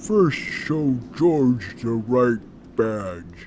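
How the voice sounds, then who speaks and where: A man does a put-on character voice over clear background noise. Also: medium pitch for a man. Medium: read story. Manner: broken grammar, blunt, menacing.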